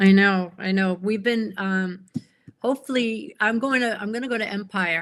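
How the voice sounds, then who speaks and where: In a plain, everyday voice, a woman speaks at a moderate pace and medium pitch with fairly even intonation. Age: 60s. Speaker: pen enthusiast. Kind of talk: casual chat.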